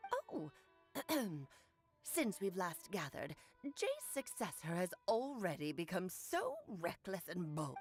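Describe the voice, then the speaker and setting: A female-sounding put-on character voice of medium pitch speaks at a fairly slow pace with long, frequent pauses over faint music in the background. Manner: imitating an older matriarch.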